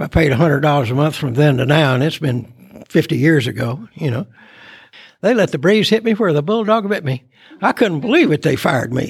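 A somewhat breathy male voice moves at a fairly quick pace. The intonation is lively. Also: fairly high pitch for a man. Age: 80s+. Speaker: recovery speaker. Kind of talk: testimony. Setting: stage with audience.

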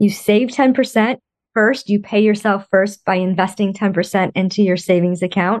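At a fairly slow pace and medium pitch, a woman speaks in an unremarkable speaking voice. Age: 50s. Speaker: financial coach. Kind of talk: interview.

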